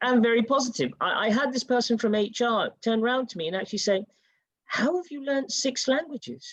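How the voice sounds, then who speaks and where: The speech moves at a fairly quick pace. Its pitch variation is ordinary. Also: woman, high pitch for a woman. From United Kingdom. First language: Urdu. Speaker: panelist. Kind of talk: panel discussion.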